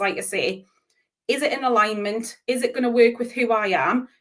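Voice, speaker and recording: A woman talks with a strong Geordie accent. Her pitch is high. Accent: Geordie, broad. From northern England, Newcastle (Geordie). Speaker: business coach. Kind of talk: interview.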